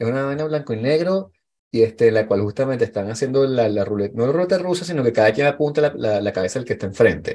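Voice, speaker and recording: The voice carries a Venezuelan accent and a dark, mellow tone with ordinary pitch variation. The background is quiet. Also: man. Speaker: podcast host. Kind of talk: casual chat.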